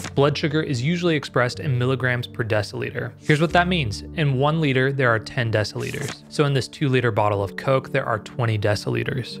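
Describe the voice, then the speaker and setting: A man at a fairly quick pace with hardly any pauses, clear music in the background. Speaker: health explainer host. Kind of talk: explainer narration. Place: home room. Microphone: studio mic.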